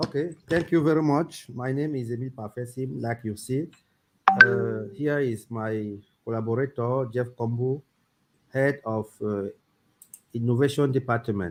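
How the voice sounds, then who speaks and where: A man at medium pitch with a French accent, moderate pace, ordinary pitch variation and long, frequent pauses, with music in the background. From Cameroon. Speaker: crypto company founder. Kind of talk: interview.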